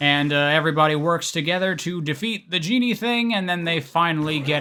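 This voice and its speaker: A plain, everyday voice at a moderate pace, with ordinary pitch variation. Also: man. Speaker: video game story retrospective creator. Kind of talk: casual commentary narration. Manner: casual, informal, profane.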